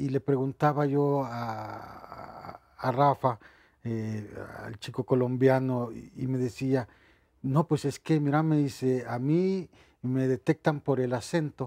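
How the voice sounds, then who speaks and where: In a dry, close recording that is very clean with a silent background, a man speaks very slowly in a dark, mellow tone at a medium pitch with fairly even intonation. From El Salvador. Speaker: migrant interviewee. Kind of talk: testimony. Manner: halting.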